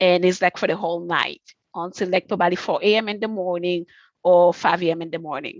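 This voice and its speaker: A woman with a fairly low pitch talks at a fairly quick pace in a monotone, flat intonation. The sound is dry and close, with no echo. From Haiti. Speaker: college counseling staff. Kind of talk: casual interview. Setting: video call. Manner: halting, many fillers.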